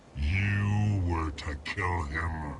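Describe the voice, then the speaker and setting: A man does a put-on character voice over clear music in the background. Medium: video game. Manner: bitter, mocking.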